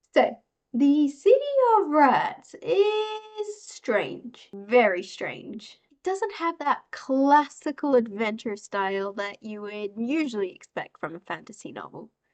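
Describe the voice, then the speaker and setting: Very slowly and with an Australian accent, a woman speaks at a high pitch, with very wide pitch swings and big swings in loudness. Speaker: book reviewer. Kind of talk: book review commentary.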